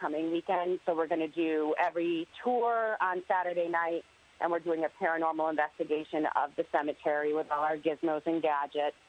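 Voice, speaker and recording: A woman with a normal speaking voice talks with fairly low pitch and fairly even intonation. The sound is dry and close, with no echo. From Connecticut. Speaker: ghost tour operator. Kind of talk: casual interview.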